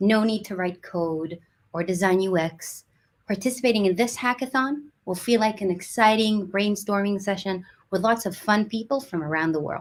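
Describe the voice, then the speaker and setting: A normal speaking voice with ordinary pitch variation at a moderate pace. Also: woman, medium pitch for a woman. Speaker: community team host. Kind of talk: livestream presentation. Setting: online livestream.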